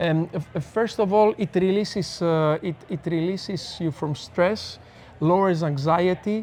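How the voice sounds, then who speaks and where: With a Greek accent, the speaker talks at a fairly slow pace and keeps a fairly even intonation. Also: man, high pitch for a man. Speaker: neuroscience speaker and researcher. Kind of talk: casual interview chat. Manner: halting, frequent stammers and restarts.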